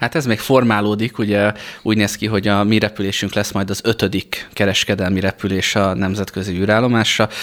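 A man's fairly low, flat, monotone voice at a fairly quick pace. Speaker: flight instructor and space program training lead. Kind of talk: radio interview. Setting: studio.

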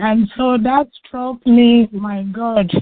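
A woman speaks with fairly even intonation. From Nigeria. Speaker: cancer awareness charity founder. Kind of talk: radio interview.

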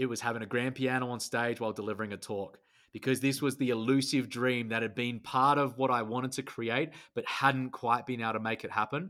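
A man with an Australian accent speaks at a fairly quick pace, medium in pitch, with a bright, sharp tone and fairly even intonation. The recording is very clean, with a silent background. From Australia, rural outback. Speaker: speaker, coach and musician. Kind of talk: interview.

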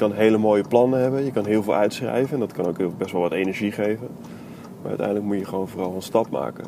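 A man talking very fast over noticeable background noise. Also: fairly low pitch for a man. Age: 20s. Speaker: podcaster. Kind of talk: solo monologue. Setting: in a car. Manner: monotone; hesitant.

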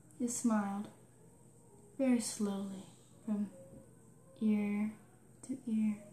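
Over noticeable background noise, a woman with a fairly high pitch speaks in a flat monotone at a very slow pace, leaving long, frequent pauses. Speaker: storyteller recounting a childhood experience. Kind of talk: ghost story telling, personal spooky tale told as a real experience. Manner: hushed, slow suspenseful build, halting with dramatic pauses; earnest and matter-of-fact, eerie.

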